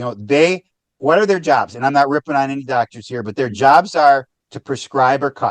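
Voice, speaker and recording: A man at a fairly quick pace with ordinary pitch variation and big swings in loudness, in dry, close sound with no echo. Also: fairly high pitch for a man. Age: 60s. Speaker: author and founder, caffeine-free advocate. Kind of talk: podcast interview. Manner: repetitive, halting restarts.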